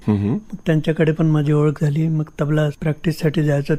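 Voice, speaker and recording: Man's dark, mellow, somewhat breathy voice at a fairly high pitch, with very even loudness and fairly even intonation. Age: old. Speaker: tabla and santoor player. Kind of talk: radio interview answer.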